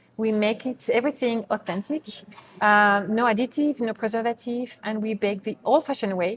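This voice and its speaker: A woman speaks at a fairly high pitch in a French accent. She talks at a fairly quick pace. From France. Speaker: bakery co-owner. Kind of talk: interview.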